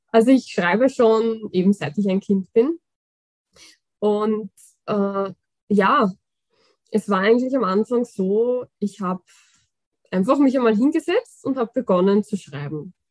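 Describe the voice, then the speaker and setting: A woman's fairly high voice, dry and close with no echo, at a fairly slow pace with long, frequent pauses and ordinary pitch variation. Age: 20s. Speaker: fantasy author. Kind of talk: interview.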